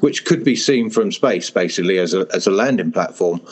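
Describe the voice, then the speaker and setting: A man talks at a fairly quick pace in a southern English accent. Background noise is noticeable. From England, Hertfordshire. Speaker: novelist. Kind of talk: casual interview. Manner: hesitant, with fillers.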